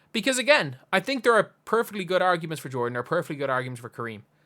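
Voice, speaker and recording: A man with an Irish accent, a bright, sharp tone and very wide pitch swings, on a very clean recording with a silent background. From Ireland. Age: 20s. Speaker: basketball YouTuber. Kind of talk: casual commentary monologue. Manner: conversational, with false starts.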